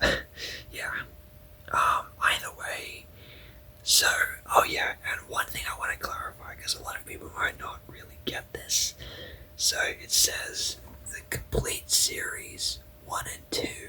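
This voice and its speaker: Whispering in a relaxed tone, the speaker moves at a fairly slow pace with long, frequent pauses amid noticeable background noise. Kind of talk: whispered ASMR review ramble to camera. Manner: whispering, relaxed, hesitant with fillers.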